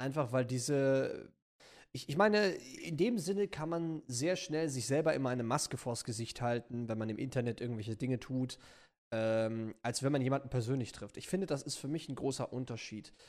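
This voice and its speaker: At a moderate pace, a man talks in an unremarkable speaking voice, his medium pitch moving with ordinary variation. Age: 20s. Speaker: YouTuber. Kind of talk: casual chat.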